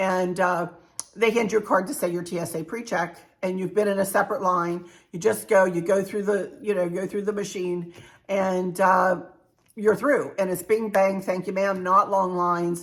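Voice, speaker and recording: In a normal speaking voice, a woman talks at a moderate pace and medium pitch, with fairly even intonation. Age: 60s. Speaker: travel vlogger. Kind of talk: casual tutorial. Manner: chatty.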